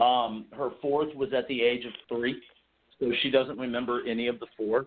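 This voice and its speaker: This man has a plain, everyday voice with an American accent. He speaks at a medium pitch and a moderate pace, with ordinary pitch variation. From Texas. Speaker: novelist. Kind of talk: interview. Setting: radio show.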